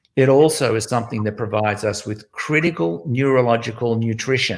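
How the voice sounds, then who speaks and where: A man's normal speaking voice, medium in pitch, with ordinary pitch variation and a fairly quick pace. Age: 60s. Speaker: music educator, founder of a music school network. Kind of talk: interview.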